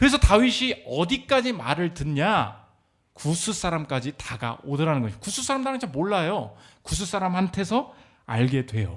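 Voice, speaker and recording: An animated, high-pitched man's voice with very wide pitch swings. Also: very clean recording, silent background. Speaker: pastor. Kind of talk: sermon. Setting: church. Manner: fast.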